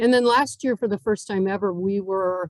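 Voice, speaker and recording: This woman has an ordinary speaking voice, pitched in the medium range, with ordinary pitch variation. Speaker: nonprofit CEO. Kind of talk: club talk.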